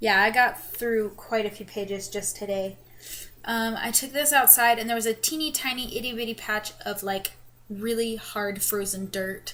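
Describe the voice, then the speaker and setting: A woman's fairly high voice is heard with noticeable background noise behind it. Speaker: vlogger. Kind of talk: casual chat.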